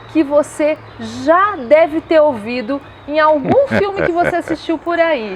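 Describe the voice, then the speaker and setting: There is noticeable background noise. A woman with a high pitch speaks at a fairly slow pace. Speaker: interview host. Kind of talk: show host introduction.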